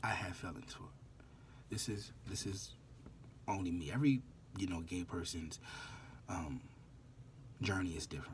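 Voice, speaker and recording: The speaker sounds somewhat breathy, with lively intonation, a moderate pace and long, frequent pauses, in audible room echo. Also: man, very deep, low pitch for a man. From New Orleans, US South. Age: 20s. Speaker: vlogger. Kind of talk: casual monologue vlog.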